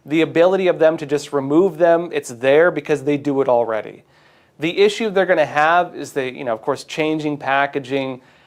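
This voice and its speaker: A man with an unremarkable speaking voice and an American accent, fairly high in pitch, with fairly even intonation and a fairly quick pace, over a quiet background. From US West Coast, San Diego. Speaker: news commentary show host. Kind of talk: news commentary.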